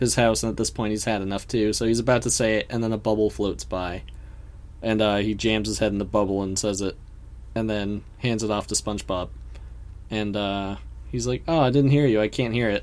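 Here a man talks at a moderate pace in a fairly low pitch with ordinary pitch variation, in a plain, everyday voice. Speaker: podcast co-host. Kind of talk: casual chat, podcast recap. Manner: playful, joking.

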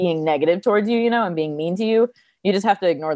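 In an American accent, a woman talks at a very fast pace with lively intonation. Her tone is dark and mellow, and the sound is dry and close with no echo. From New Jersey, US. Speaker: stunt driver and content creator. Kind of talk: casual interview.

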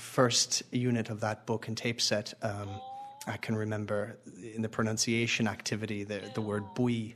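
A man with a New York accent speaks at a moderate pace and a fairly low pitch. His intonation is monotone and flat, with noticeable background noise behind him. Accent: New York American. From US, Long Island, New York. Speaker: Irish language learner. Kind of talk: interview.

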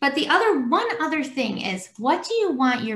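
Obvious noise sits in the background. Through it, a woman talks at a middling speed. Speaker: podcast host. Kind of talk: interview conversation. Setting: video call.

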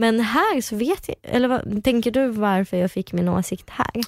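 A plain, everyday voice from a woman, fairly high in pitch with ordinary pitch variation, at a moderate pace, in a dry, close sound with no echo and a very clean recording with a silent background. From Kyrgyzstan. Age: 20s. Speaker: reality TV personality and journalism student. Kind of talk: casual interview chat.

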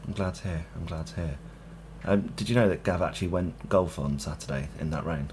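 Speaking at a fairly quick pace with a British accent, a man uses a very deep, low pitch, vocal fry and lively intonation. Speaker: football podcast host. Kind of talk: casual chat.

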